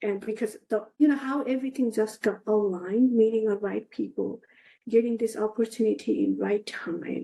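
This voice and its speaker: Her voice is fairly high, with a dark, mellow tone and a Nepali accent. The woman keeps a moderate pace and fairly even intonation. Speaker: analog astronaut. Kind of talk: interview.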